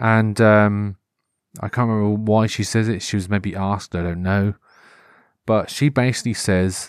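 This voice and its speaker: In a very clean recording with a silent background, a man with a Norfolk accent speaks at a fairly low pitch. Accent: Norfolk English, moderate. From Norfolk, England. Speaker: podcast host. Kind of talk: casual solo monologue. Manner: rambling, informal, hesitant with fillers.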